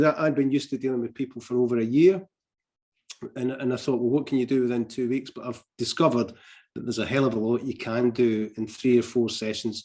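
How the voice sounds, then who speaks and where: A man's very fast speech in a medium pitch with a dark, mellow tone. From Scotland. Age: 60s. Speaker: retired mental health nurse. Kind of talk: interview. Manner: hesitant, frequent fillers and restarts.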